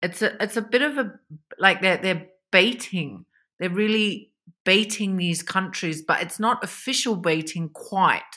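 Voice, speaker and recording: A woman with an Australian accent speaks at a fairly slow pace and a medium pitch. Her tone is bright and sharp, with ordinary pitch variation. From Australia (Victoria). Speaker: economist, China expert. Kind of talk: interview.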